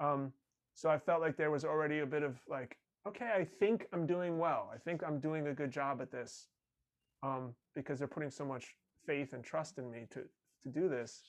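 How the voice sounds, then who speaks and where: This man has a normal speaking voice, pitched fairly high, and speaks at a moderate pace with an American accent. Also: ordinary pitch variation. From New York area (Rockland County). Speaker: performer and audio producer. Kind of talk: casual chat.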